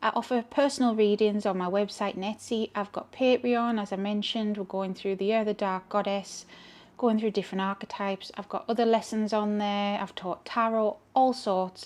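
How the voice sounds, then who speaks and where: In a Geordie accent, a woman with a fairly high pitch speaks at a moderate pace. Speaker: tarot reader and channel host. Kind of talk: casual tarot reading monologue. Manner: rambling, chatty.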